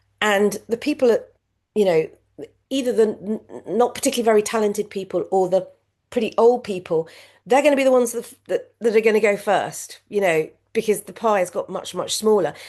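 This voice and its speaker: Against a quiet background, a woman with a British accent talks at a fairly quick pace, her pitch fairly high and its variation ordinary. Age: 60s. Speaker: former media executive, now supermarket worker. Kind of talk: interview conversation. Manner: halting, many fillers and repetitions.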